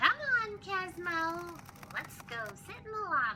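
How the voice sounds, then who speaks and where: Over loud background noise, a woman does a squeaky put-on character voice at a moderate pace, her extremely high pitch making very wide swings. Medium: audio drama. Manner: exasperated.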